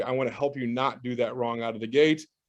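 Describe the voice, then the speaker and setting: The man speaks at a fairly quick pace. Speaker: real estate educator. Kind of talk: sales pitch. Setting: video call. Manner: fast; animated.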